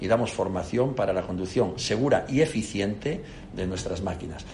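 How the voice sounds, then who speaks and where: With audible room echo around him, a man talks at a fairly quick pace, his fairly low voice showing ordinary pitch variation. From Spain, Castile and León (León). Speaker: company CEO. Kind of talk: interview.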